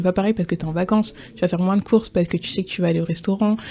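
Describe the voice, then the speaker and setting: The woman's medium-pitched voice has a dark, mellow tone. It is somewhat breathy, with ordinary pitch variation. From France. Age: 20s. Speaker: podcast guest. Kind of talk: interview testimony. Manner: hesitant.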